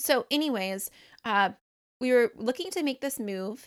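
Recorded very cleanly against a silent background, with a dry, close sound and no echo, a woman with an American accent talks at a fairly slow pace with ordinary pitch variation. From Michigan. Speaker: podcast host. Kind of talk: casual solo podcast monologue. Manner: chatty, filler-heavy.

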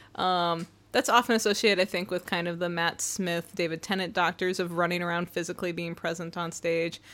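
A woman speaks in a normal speaking voice, her pitch fairly low and her intonation fairly even. She talks at a fairly quick pace with hardly any pauses. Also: very clean recording, silent background. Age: young. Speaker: podcast co-host, creative writing background. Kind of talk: casual chat.

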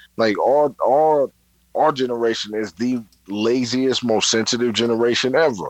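A man with a New York accent at a medium pitch and moderate pace, with ordinary pitch variation and a dry, close sound with no echo. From New York, Brooklyn. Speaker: podcast guest co-host. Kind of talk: casual chat.

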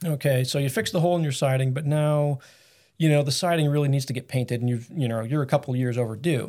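A normal speaking voice with fairly even intonation, on a very clean recording with a silent background. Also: man. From Massachusetts. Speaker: carpenter and business co-owner. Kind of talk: casual interview.

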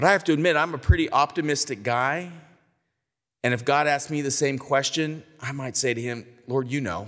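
A man with an ordinary speaking voice and an American accent, fairly high in pitch with ordinary pitch variation, at a fairly quick pace on a very clean recording with a silent background. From California. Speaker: denominational church leader, guest preacher. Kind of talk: sermon.

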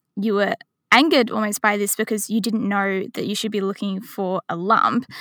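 A woman's normal speaking voice at medium pitch and moderate pace, recorded very cleanly against a silent background, the sound dry and close with no echo. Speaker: podcast host. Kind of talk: interview.

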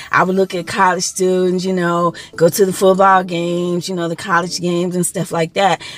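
A woman with an American accent speaks in a flat monotone at a fairly low pitch, with hardly any pauses. Noticeable background noise sits behind her. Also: fairly quick pace. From Texas, Dallas-Fort Worth area. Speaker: spiritual coach podcaster. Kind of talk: self-help monologue.

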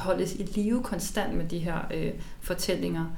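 Moderate-paced speech from a woman at medium pitch, amid noticeable background noise and audible room echo. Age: 30s. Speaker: climate activist and author. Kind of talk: interview excerpts. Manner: halting.

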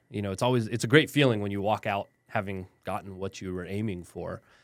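This man has an ordinary speaking voice with an American accent and fairly low pitch. His pitch varies in an ordinary way on a very clean recording with a silent background. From West Texas (El Paso). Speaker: lawyer. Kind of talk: interview. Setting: studio.

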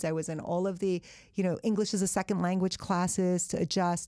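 A woman speaks at a fairly quick pace in a medium pitch. It is a plain, everyday voice. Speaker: author and lawyer. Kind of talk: casual interview. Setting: studio.

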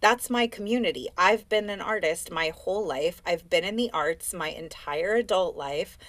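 A woman with a plain, everyday voice and an American accent, medium in pitch with ordinary pitch variation, at a moderate pace with hardly any pauses. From US West Coast, Oakland. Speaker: life and business coach, dancer. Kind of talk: casual interview chat.

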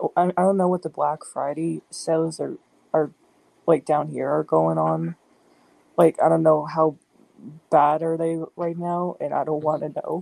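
A woman with an American accent talks at a fairly slow pace with long, frequent pauses in a dry, close sound with no echo. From US South. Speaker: podcast panelist. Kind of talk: casual chat.

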